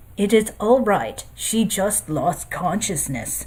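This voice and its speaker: Someone uses a put-on character voice at a middle pitch, speaking fairly slowly. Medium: read story. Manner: formal, no contractions.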